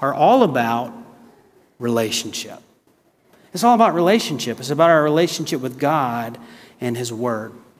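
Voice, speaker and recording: A man speaks at a moderate pace with an American accent and lively intonation. There is audible echo from the room. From US South, South Carolina. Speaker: guest preacher. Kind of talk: sermon. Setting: church.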